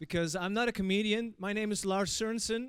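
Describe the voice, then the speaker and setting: A man is speaking. He has a Dutch accent. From Netherlands. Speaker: event moderator. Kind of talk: opening speech. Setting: stage with audience. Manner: hesitant, many fillers.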